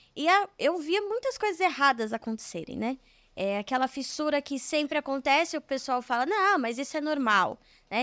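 A woman's high, bright, sharp voice with very wide pitch swings at a moderate pace, dry and close with no echo, on a very clean recording with a silent background. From São Bernardo do Campo, São Paulo, Brazil. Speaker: civil engineer. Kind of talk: casual interview. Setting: studio.

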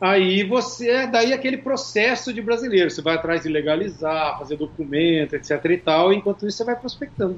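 Against noticeable background noise, a man talks at a fairly quick pace with hardly any pauses. His pitch is high, and his intonation is lively. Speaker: singer and music producer. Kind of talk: casual interview chat.

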